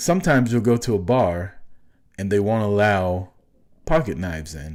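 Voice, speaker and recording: An ordinary speaking voice with lively intonation at a moderate pace, on a very clean recording with a silent background. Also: man, fairly low pitch for a man. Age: 40s. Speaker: podcast co-host. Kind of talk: casual chat.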